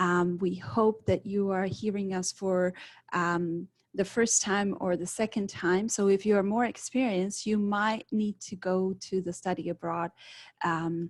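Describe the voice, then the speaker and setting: Recorded very cleanly against a silent background, the speaker talks with a Czech accent at a fairly slow pace and with fairly even intonation. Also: woman, medium pitch for a woman. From Czech Republic. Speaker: study abroad adviser. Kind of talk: presentation. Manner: halting.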